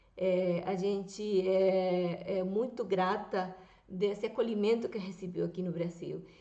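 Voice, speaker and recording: Speaking at a very slow pace, a woman has a dark, mellow tone and a Venezuelan accent. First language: Spanish (speaking Portuguese). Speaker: YouTuber. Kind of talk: political commentary vlog.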